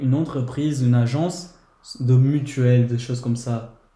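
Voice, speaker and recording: Somewhat breathy and dark and mellow in tone, a man speaks at a medium pitch and a moderate pace with fairly even intonation, with audible room echo. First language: Portuguese (speaking French). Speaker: guest. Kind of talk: casual chat.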